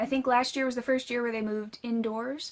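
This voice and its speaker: Recorded very cleanly with a silent background, a woman talks with a fairly high pitch. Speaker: knitting and spinning podcaster, yarn dyer. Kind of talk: casual podcast talk to camera. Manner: fast; hesitant, many fillers.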